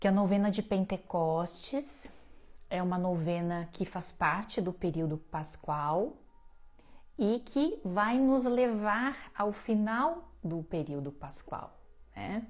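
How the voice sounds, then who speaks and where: Soft-spoken, this voice moves at a very slow pace with lively intonation. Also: woman, medium pitch for a woman. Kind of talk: religious teaching livestream.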